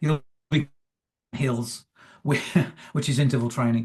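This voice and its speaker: At a moderate pace, a man speaks in a medium pitch with a somewhat breathy, monotone, flat intonation. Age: 70s. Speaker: retired coach and motivational speaker. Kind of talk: interview. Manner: halting.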